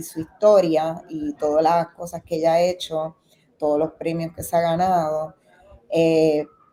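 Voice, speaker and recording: A woman speaks with a Puerto Rican accent in a fairly low, dark, mellow voice. Her delivery is monotone and flat at a fairly slow pace. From Puerto Rico. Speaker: documentary film director. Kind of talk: interview.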